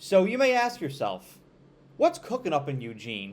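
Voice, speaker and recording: A man talks with an upstate New York accent. The recording is very clean, with a silent background. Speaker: college football commentator. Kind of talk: sports analysis monologue. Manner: animated.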